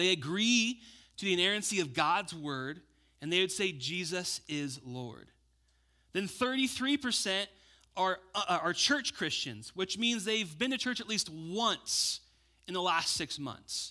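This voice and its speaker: A man with a high pitch uses a raised, projected voice with a bright, sharp tone. He speaks at a fairly slow pace, his pitch swinging very widely. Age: 30s. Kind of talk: sermon. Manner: animated.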